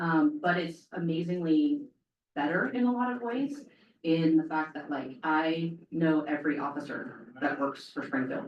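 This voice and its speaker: A woman with a very deep, low pitch speaks with lively intonation. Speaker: police chief. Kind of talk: public talk. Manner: fast.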